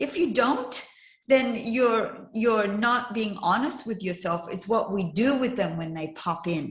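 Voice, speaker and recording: A woman's fairly high, somewhat breathy voice, lively in intonation, at a fairly slow pace. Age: 60s. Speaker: life coach and trainer. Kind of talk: casual chat.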